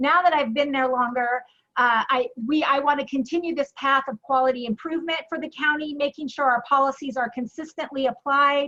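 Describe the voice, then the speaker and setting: Her voice raised and projected, a woman with a bright, sharp tone and high pitch talks fairly quickly with hardly any pauses and fairly even intonation. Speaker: county commissioner. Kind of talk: candidate forum statement. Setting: chamber luncheon with audience. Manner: fast.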